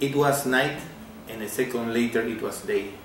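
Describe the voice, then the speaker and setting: A man with a Peruvian accent speaks very slowly at a medium pitch, with ordinary pitch variation. Noticeable background noise and audible room echo are present. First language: Spanish. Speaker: amateur physics theorist. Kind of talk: video message. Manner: halting.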